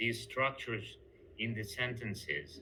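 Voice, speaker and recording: Here a man speaks with a non-native accent. His tone is bright and sharp, with ordinary pitch variation. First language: not English. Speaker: job applicant, English teacher. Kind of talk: job interview. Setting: video call. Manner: halting.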